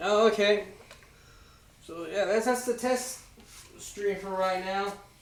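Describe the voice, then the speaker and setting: There is audible room echo around a man with a high pitch. He speaks at a fairly slow pace with fairly even intonation. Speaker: streamer and mask maker. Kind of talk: casual live stream chat. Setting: garage.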